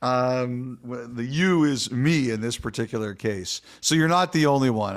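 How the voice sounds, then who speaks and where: In a very clean recording with a silent background, a man uses an ordinary speaking voice at medium pitch with lively intonation. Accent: Canadian. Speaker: hockey podcast co-host and insider. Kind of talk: casual chat.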